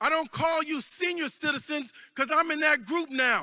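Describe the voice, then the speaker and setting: Speaking at a fairly slow pace, a man raises and projects his voice at an extremely high pitch with fairly even intonation. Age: 60s. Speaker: congressman. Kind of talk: convention speech. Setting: stage with audience. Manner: rousing.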